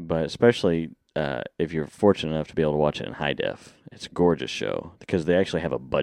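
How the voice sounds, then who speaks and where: Very deep and low, a man's voice with vocal fry races at a very fast pace with hardly any pauses, ordinary pitch variation and big swings in loudness, the sound dry and close with no echo. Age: 30s. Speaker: podcast co-host. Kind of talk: casual chat. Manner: laughs often.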